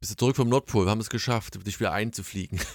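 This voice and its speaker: A man with an East German accent speaks in a fairly low voice with ordinary pitch variation. The recording is very clean with a silent background, and the sound is dry and close with no echo. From East Germany. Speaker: podcast host. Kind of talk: casual chat.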